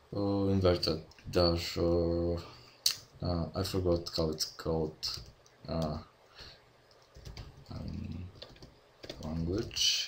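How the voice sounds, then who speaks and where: With a Bulgarian accent, the speaker goes at a very slow pace, leaving long, frequent pauses. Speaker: game development tutorial maker. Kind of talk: tutorial. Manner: halting, many fillers. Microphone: poor audio quality from own mic.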